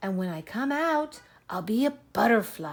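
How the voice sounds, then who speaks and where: A woman's put-on character voice, fairly high in pitch, with very wide pitch swings. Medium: read story.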